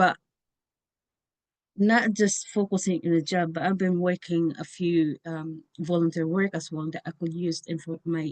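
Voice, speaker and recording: A woman with a non-native accent speaks in a fairly low pitch with monotone, flat intonation. The sound is dry and close, with no echo. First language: not English. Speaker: information science researcher. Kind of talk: interview. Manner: halting.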